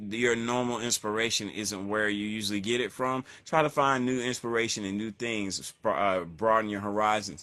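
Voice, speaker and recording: A man's relaxed, bright, sharp voice at medium pitch, in a slight Southern US accent, with ordinary pitch variation and a moderate pace. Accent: slight Southern twang. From North Carolina. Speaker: hip hop artist. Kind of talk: interview. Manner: casual, relaxed.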